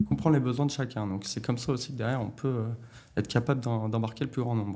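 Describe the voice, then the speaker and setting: At a very fast pace, a man talks with a dark, mellow tone. His pitch variation is ordinary. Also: medium pitch for a man. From France, Lyon area (Bron). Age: 30s. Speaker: company director. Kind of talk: interview. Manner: hesitant, many filler sounds.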